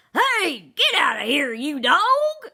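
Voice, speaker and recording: A put-on character voice is shouting at extremely high pitch with very wide pitch swings. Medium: read story.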